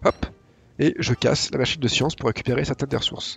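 Somewhat breathy, a man talks at a very fast pace. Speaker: gaming YouTuber. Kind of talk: tutorial. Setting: home recording, gameplay voiceover. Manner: casual, hesitant with fillers.

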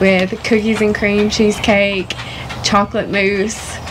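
With an Appalachian accent, a woman speaks at a fairly slow pace over noticeable background noise. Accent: Appalachian Southern US. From Southwest Virginia (Honaker); Virginia. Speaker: co-host, social media contributor; co-host. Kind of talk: casual chat. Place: garden.

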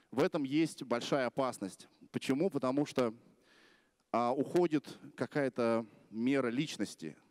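The speaker goes at a fairly slow pace with ordinary pitch variation against a quiet background. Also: man. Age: 30s. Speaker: blogger; blogger giving a festival talk. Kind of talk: conference talk. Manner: casual. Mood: relaxed, humorous, confident. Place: stage. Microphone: handheld.

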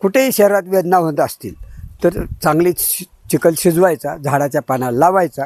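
Here a man speaks in a high pitch with ordinary pitch variation. The sound is dry and close, with no echo. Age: 70s. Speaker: naturopathy practitioner. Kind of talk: tutorial.

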